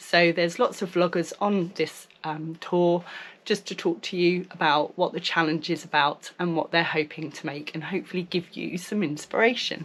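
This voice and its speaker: Pitched fairly low, a woman speaks with a British accent. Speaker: sewing vlogger. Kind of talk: casual vlog chat.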